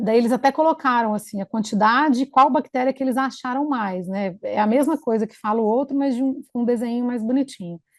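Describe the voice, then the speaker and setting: With hardly any pauses, a high-pitched woman speaks in a dry, close sound with no echo. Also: ordinary pitch variation, fairly quick pace. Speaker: infection control physician. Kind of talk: conference presentation.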